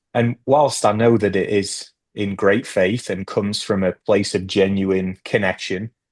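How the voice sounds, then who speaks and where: A man with a British accent speaks at a fairly slow pace and fairly low pitch, with hardly any pauses and fairly even intonation. The sound is dry and close with no echo, over a quiet background. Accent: British accent, noticed by locals daily. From Northeast England. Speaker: immigrant panel speaker. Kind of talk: group discussion. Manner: halting, many fillers.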